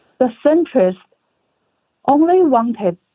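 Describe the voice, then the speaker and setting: Speech comes at a moderate pace with lively intonation. It carries a Chinese accent. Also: woman. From China. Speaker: author. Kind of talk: interview answer.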